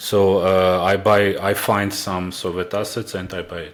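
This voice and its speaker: A man with an Armenian accent at a very deep, low pitch and a fairly slow pace, over noticeable background noise. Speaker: indie game developer. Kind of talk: interview. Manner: halting, many filler sounds.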